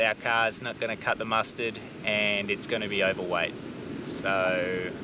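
In a dry sound with no echo, a man speaks at a moderate pace while noticeable background noise persists. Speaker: family travel vlogger. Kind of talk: casual vlog chat. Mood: nervous, laughing, upbeat. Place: beach. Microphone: camera far.

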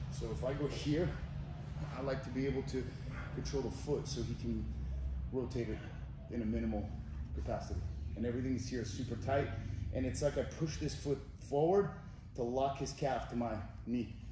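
A man talks at a fairly quick pace. Audible room echo and noticeable background noise are present. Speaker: jiu-jitsu instructor. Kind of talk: tutorial. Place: gym.

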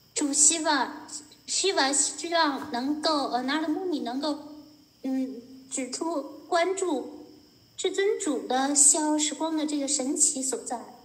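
Speaking very slowly with a Chinese accent, a woman uses a high pitch and ordinary pitch variation over noticeable background noise. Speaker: interpreter. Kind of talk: consecutive interpretation of a lecture. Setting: video call.

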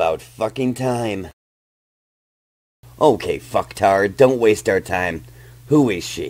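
A man uses a put-on character voice at a medium pitch. He goes at a fairly slow pace with long, frequent pauses. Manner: vulgar, menacing, bullying; cold, commanding.

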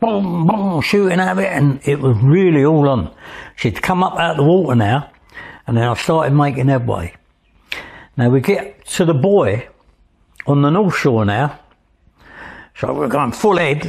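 A somewhat breathy voice with an East London accent, very even loudness, very wide pitch swings and long, frequent pauses over a quiet background. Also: man, fairly high pitch for a man, moderate pace. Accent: East London (Cockney). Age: 80s+. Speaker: Thames lighterman and tug captain. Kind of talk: interview storytelling. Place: home room. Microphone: lapel.

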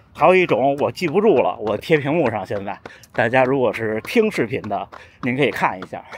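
Over light background noise, a man talks at a fairly quick pace with very wide pitch swings, and the sound is dry with no echo. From northern China. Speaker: running vlogger; runner vlogger. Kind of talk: casual vlog talk. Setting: outdoors. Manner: walking while talking.

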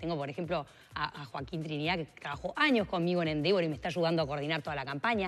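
Speaking at a very fast pace, a woman has a Uruguayan accent and a very deep, low pitch with ordinary pitch variation. Faint music plays in the background. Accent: Rioplatense Spanish (Uruguay). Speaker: politician, mayoral candidate; politician, candidate. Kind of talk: radio interview. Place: studio. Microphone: lapel.

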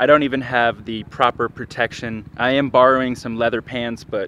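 Man at a moderate pace, monotone and flat, with dry, echo-free sound and light background noise. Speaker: motorcycle vlogger. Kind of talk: casual vlog chat. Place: stadium. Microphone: phone near.

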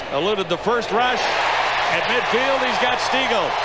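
A man is heard over loud background noise, the sound dry with no echo. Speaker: play-by-play announcer. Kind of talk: live commentary.

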